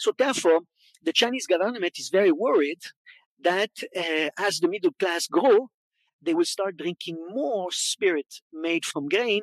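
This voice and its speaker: Speaking in a Quebec accent, a man goes at a fairly slow pace with ordinary pitch variation, recorded dry and close with no echo. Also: quiet background. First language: French. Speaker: wine educator and consultant. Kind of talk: conference talk. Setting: stage with audience.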